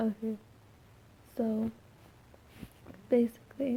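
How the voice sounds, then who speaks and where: A soft-spoken woman talks at a fairly high pitch and a fairly slow pace. Her intonation is monotone and flat. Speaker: student vlogger. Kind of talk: casual chat. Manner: quiet.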